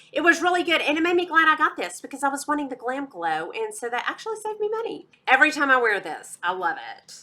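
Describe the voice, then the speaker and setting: A woman with a Texas accent talks at a very fast pace in a raised, projected voice that is high-pitched with a bright, sharp tone. Her pitch swings very widely and her loudness swings a lot. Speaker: beauty YouTuber. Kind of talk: product review vlog. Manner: animated.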